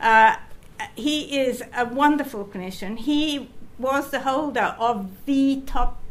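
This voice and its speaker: Room echo can be heard as a woman talks. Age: 70s. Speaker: retired geneticist and charity patron. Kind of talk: conference talk. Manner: halting.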